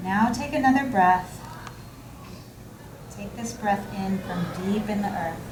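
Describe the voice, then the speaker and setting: Amid noticeable background noise and audible room echo, a woman speaks at a fairly slow pace with lively intonation and long, frequent pauses. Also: medium pitch for a woman. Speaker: therapist leading meditation. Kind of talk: guided meditation.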